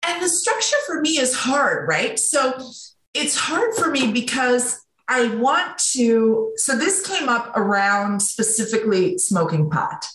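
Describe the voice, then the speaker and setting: Very slowly, a woman speaks in a high voice with very wide pitch swings and very even loudness, with audible room echo. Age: 40s. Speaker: leadership coach and author. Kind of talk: casual chat.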